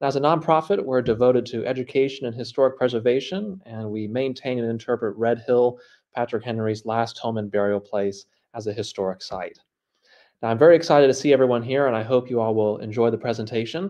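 The background is quiet as a man speaks at a fairly quick pace. His tone is dark and mellow, with ordinary pitch variation. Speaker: presenter. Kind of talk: lecture. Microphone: webcam.

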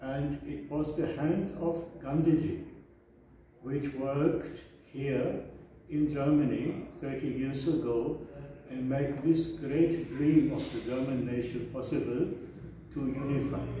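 Strong room echo and light background noise surround a man speaking at a very slow pace. His intonation is fairly even, with long, frequent pauses. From Germany. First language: German. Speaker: author and scholar. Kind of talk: formal address. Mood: warm, celebratory. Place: office. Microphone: camera far.

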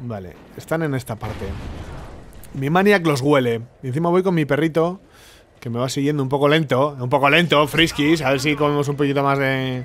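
A man with a Spanish accent speaks at a fairly quick pace and a fairly high pitch. His pitch variation is ordinary, and he takes long, frequent pauses. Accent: Peninsular Spanish. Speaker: gaming youtuber. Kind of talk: live gameplay commentary. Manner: animated.

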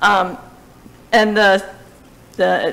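The speaker has an American accent. She is a woman. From New Jersey. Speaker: town finance staff presenting budget. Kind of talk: public meeting budget presentation. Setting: town hall meeting. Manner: hesitant, many fillers. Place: hall. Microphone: podium.

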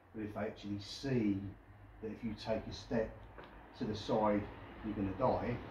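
A man's fairly low, dark, mellow voice with monotone, flat intonation, light background noise and audible room echo. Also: moderate pace. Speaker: urban explorer vlogger. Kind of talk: casual vlog chat. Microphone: camera far.

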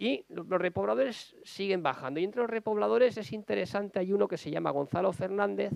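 A man's voice swings very widely in pitch. The sound is dry with no echo, over a quiet background. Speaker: novelist. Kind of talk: book presentation talk. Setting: public library event. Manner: fast; halting. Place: hall. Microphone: lapel.

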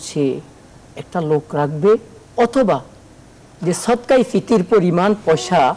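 A man's voice, high for his sex, with lively intonation. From Bangladesh. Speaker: Islamic scholar, hadith teacher; hadith teacher. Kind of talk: religious Q&A explanation. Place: studio.

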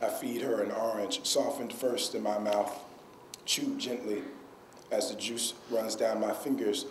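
A moderate pace in an American accent, with ordinary pitch variation and noticeable background noise. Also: man. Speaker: poet. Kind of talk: poetry reading. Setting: stage with audience. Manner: casual, self-deprecating, joking.

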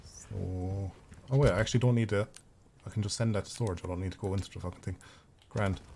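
A man with an Irish accent and a fairly low pitch sounds somewhat breathy, with fairly even intonation. He talks at a very fast pace, broken by long, frequent pauses. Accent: Irish, noted by self. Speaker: gaming streamer. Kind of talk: live gameplay commentary.

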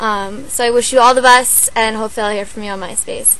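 Music plays behind a woman speaking, and the sound is dry with no echo. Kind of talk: casual voicemail message. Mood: friendly, smiling, slightly shy. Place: studio. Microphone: webcam.

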